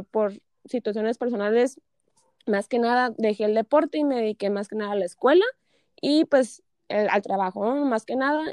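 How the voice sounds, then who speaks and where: A woman with a fairly high voice and ordinary pitch movement talks at a moderate tempo. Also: dry, close sound with no echo. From Mexico, Tijuana. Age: 20s. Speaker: accountant. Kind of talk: interview testimony. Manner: halting.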